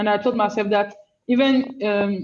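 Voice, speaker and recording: A woman speaks in a French-speaking African accent at a fairly slow pace. Her pitch is fairly high and her intonation fairly even. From Benin / Senegal. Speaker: rapper. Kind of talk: panel discussion. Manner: halting, many fillers.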